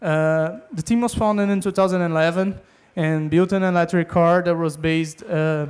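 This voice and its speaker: The speaker has a non-native accent and a moderate pace. The recording is very clean, with a silent background. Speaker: engineering student team member. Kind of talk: stage interview. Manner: halting.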